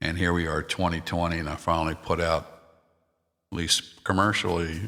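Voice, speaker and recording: A man with an American accent speaks at a very deep, low pitch. His tone is bright and sharp, and the recording is very clean with a silent background. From US, Maryland. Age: 60s. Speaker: musician and podcast host. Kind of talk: casual podcast talk. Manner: halting, many fillers.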